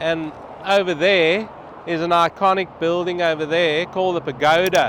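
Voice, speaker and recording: Loud and high-pitched, a man with an Australian accent speaks with fairly even intonation against noticeable background noise. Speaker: travel vlogger. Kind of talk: vlog walkthrough. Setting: outdoors on a freeway overpass.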